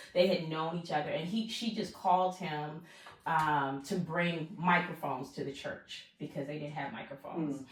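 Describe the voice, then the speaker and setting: Over noticeable background noise and audible room echo, a woman with an American accent and a fairly low voice speaks at a moderate pace with ordinary pitch variation. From US South, Charleston, South Carolina. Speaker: pastor and executive. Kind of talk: podcast interview.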